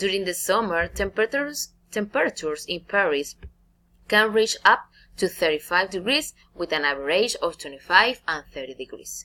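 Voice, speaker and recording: A woman speaks with a Spanish accent at a moderate pace and medium pitch. Her tone is bright and sharp, with very wide pitch swings. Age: 20s. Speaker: navy officer and English student. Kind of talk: recorded class presentation. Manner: halting.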